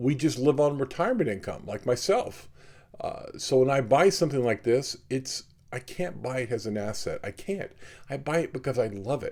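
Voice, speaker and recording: A man speaks with a dark, mellow tone at a fairly high pitch. His intonation is lively and his pace moderate. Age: 60s. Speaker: watch collector and video host. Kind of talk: casual talk to camera. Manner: conversational, many fillers.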